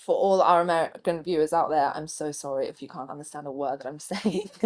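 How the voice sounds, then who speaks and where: Very fast and with big swings in loudness, a woman with an English accent speaks at a very deep, low pitch. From England. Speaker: marine biologist. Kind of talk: casual chat. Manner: animated.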